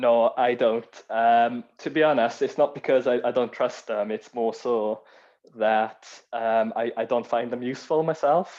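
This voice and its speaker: Speaking at a fairly slow pace with fairly even intonation, this voice carries a strong Welsh accent. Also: man, medium pitch for a man. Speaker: cyber security speaker. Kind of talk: Q&A discussion.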